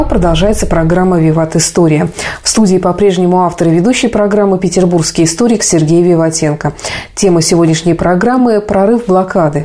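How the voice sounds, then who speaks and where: A woman speaks at a fairly quick pace with a fairly low pitch and ordinary pitch variation. Her loudness stays very even, and there is noticeable background noise. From Saint Petersburg, Russia. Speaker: radio presenter. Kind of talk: radio presenting. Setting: radio studio.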